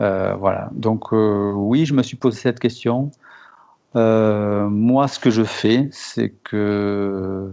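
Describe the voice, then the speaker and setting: His intonation remains fairly even. The man's voice sits at a medium pitch. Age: 40s. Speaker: software developer. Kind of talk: interview. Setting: audio call from home. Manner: hesitant, many fillers.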